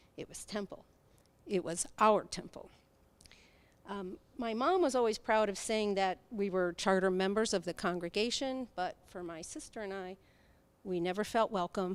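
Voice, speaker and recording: With big swings in loudness, a woman speaks at a moderate pace and medium pitch, with ordinary pitch variation. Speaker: congregant giving a personal talk. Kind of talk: personal testimony speech. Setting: synagogue sanctuary, streamed on Zoom.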